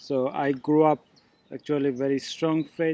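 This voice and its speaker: A fairly slow delivery with a Bangladeshi accent. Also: man. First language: Bengali. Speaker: missionary candidate. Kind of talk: testimony. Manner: halting.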